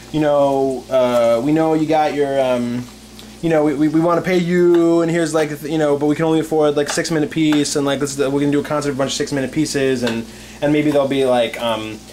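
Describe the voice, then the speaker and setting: The speech runs at a very fast pace over light background noise. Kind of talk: casual chat while cooking. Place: kitchen. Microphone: camera far.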